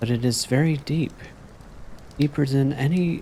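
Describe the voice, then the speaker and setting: A soft-spoken man talks at a fairly slow pace in a gentle tone. His intonation is lively. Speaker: VTuber streamer. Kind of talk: softly spoken story reading. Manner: soft-spoken, gentle.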